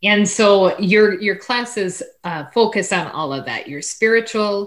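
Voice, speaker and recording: Using lively intonation, a woman with an unremarkable speaking voice talks at a medium pitch and a fairly slow pace in an American accent. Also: very clean recording, silent background. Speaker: radio host. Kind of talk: interview. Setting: studio.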